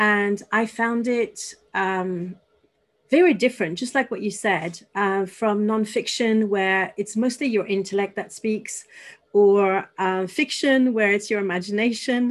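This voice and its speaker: The speaker talks at a fairly slow pace in a French accent, with ordinary pitch variation. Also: woman, medium pitch for a woman. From France (Paris). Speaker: podcast host. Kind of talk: interview.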